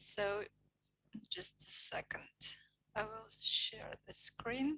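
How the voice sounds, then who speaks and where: Whispering at a very slow pace, the speaker has a Russian accent. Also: woman. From Mari El Republic, Russia. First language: Meadow Mari. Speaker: poet reader and language teacher. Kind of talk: poetry reading introduction. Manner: halting, with fillers.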